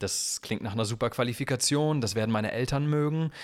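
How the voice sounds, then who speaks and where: Very fast talk from a man, with a very clean recording and a silent background. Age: 20s. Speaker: singer-songwriter. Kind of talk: casual chat.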